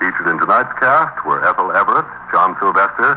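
A man keeps a moderate pace as noticeable background noise runs beneath him. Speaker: radio announcer. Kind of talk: announcer narration and credits. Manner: formal, crisp announcer delivery.

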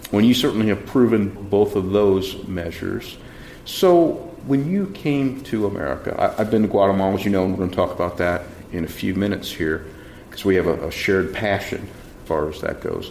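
This man has an unremarkable speaking voice, fairly low in pitch. He talks at a fairly quick pace with lively intonation. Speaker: mayor and show host. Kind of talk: interview.

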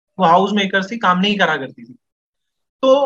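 Bright, sharp tone at a moderate pace, with dry, close sound and no echo. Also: man. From India, Delhi. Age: 20s. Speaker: freelance educator and poet. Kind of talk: casual podcast conversation.

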